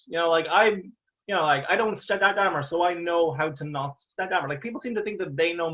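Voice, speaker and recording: A high-pitched man's voice with an Irish accent, ordinary pitch variation and a moderate pace. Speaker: stand-up comedian. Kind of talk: interview answer. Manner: stammers.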